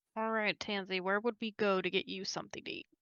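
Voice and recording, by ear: A woman at medium pitch, fairly quick, with a clear, smooth, bright, sharp tone, fairly even intonation and a dry, close sound with no echo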